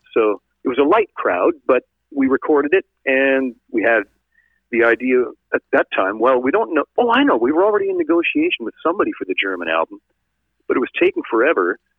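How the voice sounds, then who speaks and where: Speaking at a fairly quick pace, a man talks in a Canadian accent. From northern Ontario, Canada. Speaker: rock singer. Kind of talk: interview. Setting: phone call.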